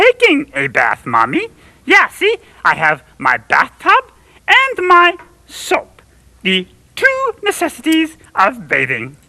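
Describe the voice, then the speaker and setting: In a cartoonish character voice with high pitch, the speaker moves at a fairly slow pace with long, frequent pauses. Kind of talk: children's TV puppet comedy. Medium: puppet show. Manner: earnest, rambling, hesitant with fillers.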